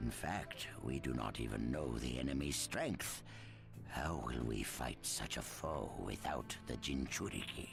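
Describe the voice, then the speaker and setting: A man talks in a put-on character voice at a fairly slow pace. Loud music plays in the background. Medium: video game. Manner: wary, deliberate.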